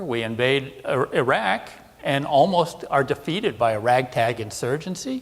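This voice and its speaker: A man with an American accent has an unremarkable speaking voice. His pitch is fairly high and his intonation lively. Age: 60s. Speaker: defense analyst. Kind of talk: conference presentation.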